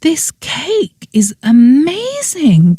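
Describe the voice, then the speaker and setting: In a put-on character voice, the pitch swings very widely. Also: woman, high pitch for a woman. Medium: read story. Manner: bright, excited.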